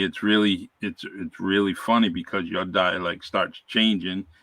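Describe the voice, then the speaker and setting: A man speaks with a Massachusetts accent at a moderate pace. His intonation is fairly even. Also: hardly any pauses. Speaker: retired police officer. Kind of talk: interview.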